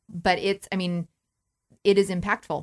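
In a very clean recording with a silent background, a woman with a Midwestern American accent speaks in a monotone, flat intonation, the sound dry and close with no echo. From Nebraska, Norfolk. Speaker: Lutheran minister. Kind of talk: casual chat.

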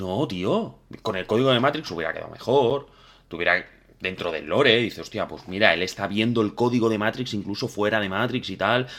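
With a normal speaking voice, a man talks at a fairly quick pace and fairly low pitch with ordinary pitch variation, in a very clean recording with a silent background. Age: 30s. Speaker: podcast host. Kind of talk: casual chat. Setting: live stream.

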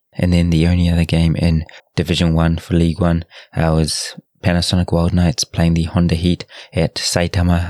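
A man with a New Zealand accent speaks at a moderate pace in a very deep, low voice. His intonation is flat and monotone, and the sound is dry and close with no echo. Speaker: rugby podcast host. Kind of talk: solo podcast monologue. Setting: at home late at night. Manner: hesitant, many filler words.

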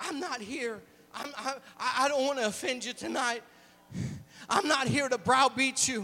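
A man's raised, projected voice at an extremely high pitch, moderate pace and ordinary pitch variation, with long, frequent pauses and noticeable background noise. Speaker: preacher. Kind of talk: sermon. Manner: animated.

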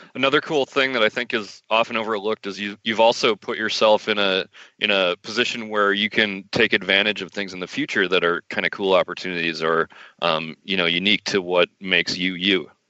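Fairly quick delivery from a man: a plain, everyday voice, fairly low-pitched, with ordinary pitch variation. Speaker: podcast host. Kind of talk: casual interview.

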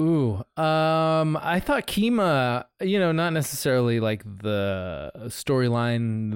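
Lively intonation marks this man's ordinary speaking voice, pitched at a medium level. The recording is very clean with a silent background. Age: 40s. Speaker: podcast co-host. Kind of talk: casual chat.

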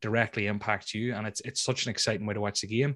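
The speaker has a Northern Irish accent. The sound is dry and close with no echo, on a very clean recording with a silent background. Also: man. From Northern Ireland, near Belfast. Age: 20s. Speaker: fantasy football YouTuber. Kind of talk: casual interview.

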